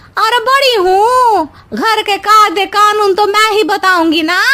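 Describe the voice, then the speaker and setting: In a cartoonish character voice, the speaker talks at a moderate pace with ordinary pitch variation and very even loudness. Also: woman, extremely high pitch for a woman. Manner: gossipy, whiny, meddling.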